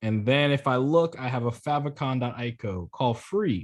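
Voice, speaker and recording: Against a quiet background, a man with an unremarkable speaking voice talks fairly slowly at a medium pitch. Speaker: coding instructor. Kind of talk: online class tutorial.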